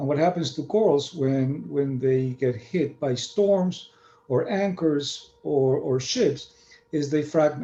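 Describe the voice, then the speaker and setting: A man with a Spanish accent talks at a very slow pace, his fairly high pitch carrying ordinary pitch variation. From Argentina. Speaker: marine scientist. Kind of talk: lecture. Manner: halting, many fillers.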